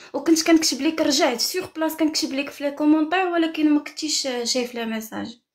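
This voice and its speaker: Speaking at a fairly quick pace, a woman has a high pitch with ordinary pitch variation. She hardly pauses. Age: 30s. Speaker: caller seeking marriage, beautician. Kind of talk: live stream call-in chat.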